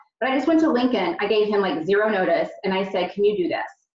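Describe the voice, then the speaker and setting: A woman talks at a fairly quick pace, with audible room echo against a quiet background. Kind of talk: team meeting talk. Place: home room. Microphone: video call.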